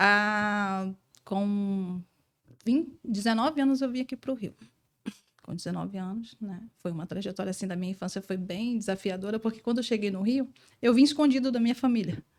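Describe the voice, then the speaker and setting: With a slight Bahian accent, a woman talks at a moderate pace in a medium pitch with ordinary pitch variation. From southern Bahia, Brazil. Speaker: entrepreneur. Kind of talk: testimony.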